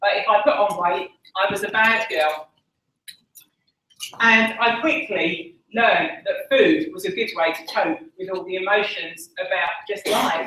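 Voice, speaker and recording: A woman with an Essex accent speaks at a fairly slow pace in a medium pitch, her voice swinging very widely up and down. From Essex, England. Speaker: conference speaker. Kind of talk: talk.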